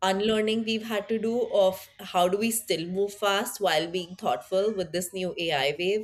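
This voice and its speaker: Using hardly any pauses, a woman with an Indian accent talks at a moderate pace in a medium pitch with ordinary pitch variation. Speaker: tech product leader. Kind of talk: interview conversation.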